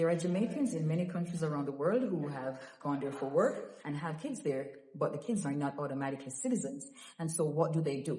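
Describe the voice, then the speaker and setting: In a room with audible echo and noticeable background noise, a woman with a very deep, low pitch speaks at a fairly quick pace with lively intonation. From Jamaica. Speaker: documents help vlogger. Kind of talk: informational vlog. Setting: museum, indoors among visitors. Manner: soft-spoken.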